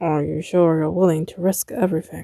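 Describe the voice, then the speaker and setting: Using a put-on character voice, a woman speaks fairly quickly in a raspy, fairly low pitch. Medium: read story. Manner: deadpan, dry.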